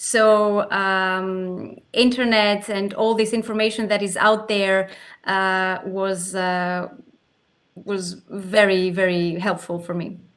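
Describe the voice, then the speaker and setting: A woman at medium pitch speaks in a flat monotone at a very slow pace, with long, frequent pauses. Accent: Greek. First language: Greek. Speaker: arbitration lawyer. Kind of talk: panel discussion.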